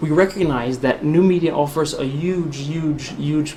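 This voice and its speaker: A man with a Brooklyn accent, fairly even intonation, audible room echo and noticeable background noise. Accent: Brooklyn New York. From US Northeast (Brooklyn, New York). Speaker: spokesperson and former army officer. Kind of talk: public talk. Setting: hall with live audience.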